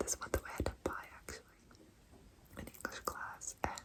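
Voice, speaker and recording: There is noticeable background noise as a woman whispers. Her pace is moderate. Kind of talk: ASMR whispered show and tell. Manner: whispered, soft, relaxing.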